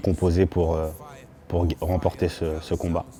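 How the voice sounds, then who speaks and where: A man with a very deep, low voice speaks at a moderate pace in a monotone, flat way. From Normandy, France (Le Havre). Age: 30s. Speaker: MMA fighter. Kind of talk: interview. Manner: halting, many hesitations.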